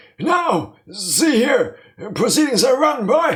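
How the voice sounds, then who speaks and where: A put-on character voice sits high in pitch. It moves at a very slow pace. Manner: stern, authoritative.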